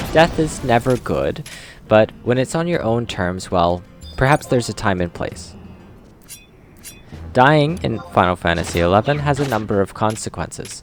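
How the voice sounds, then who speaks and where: Over music in the background, a man speaks at a moderate pace and medium pitch, with very wide pitch swings and a playful tone. He takes long, frequent pauses. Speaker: video game content creator. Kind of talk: gameplay commentary narration. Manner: casual, playful.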